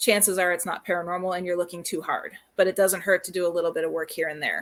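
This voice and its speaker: Speaking at a very fast pace, a woman keeps a flat monotone. Her pitch sits at a medium level. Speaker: paranormal researcher and show host. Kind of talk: casual chat. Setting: live stream video call.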